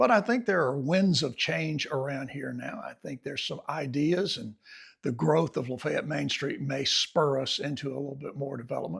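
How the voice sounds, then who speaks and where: With an Alabama accent and some vocal fry, a man speaks at a moderate pace in a fairly high pitch with lively intonation. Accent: Southern US (Alabama). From US South, eastern Alabama. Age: 70s. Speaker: writer and farmer vlogger. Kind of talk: reflective personal vlog. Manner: relaxed, conversational.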